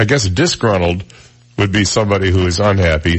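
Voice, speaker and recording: Somewhat breathy, a man speaks at a very deep, low pitch. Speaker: radio talk show host. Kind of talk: casual chat. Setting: studio. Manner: folksy.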